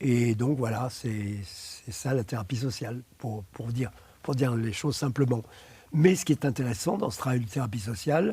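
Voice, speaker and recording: Speaking at a very slow pace, a man has a medium pitch. His tone is dark and mellow, and somewhat breathy. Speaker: psychotherapist. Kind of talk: interview. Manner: halting, many hesitations.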